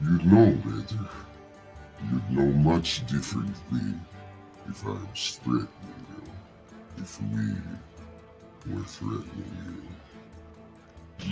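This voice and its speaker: A man's put-on character voice, very deep and low, with very wide pitch swings at a very slow pace, over clear music in the background. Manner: menacing, intimidating.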